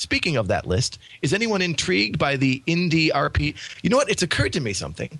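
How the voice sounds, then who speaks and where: A man with a fairly high pitch, vocal fry and very wide pitch swings. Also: fairly quick pace. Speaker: podcast host. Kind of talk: casual chat.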